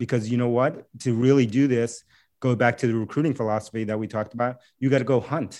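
A man with a dark, mellow tone and medium pitch talks at a very fast pace with fairly even intonation against a quiet background. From New York City, US. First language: Spanish. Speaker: tech company CEO. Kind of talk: interview.

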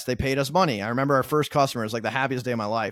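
A man with an American accent talks in a very clean recording over a silent background. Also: dry, close sound with no echo. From US Midwest, Minnesota. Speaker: community director. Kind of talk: podcast interview.

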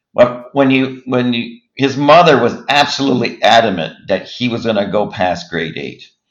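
A man's voice sits at a medium pitch as he talks at a moderate pace. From Nova Scotia, Halifax-Dartmouth. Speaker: company CEO. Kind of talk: interview.

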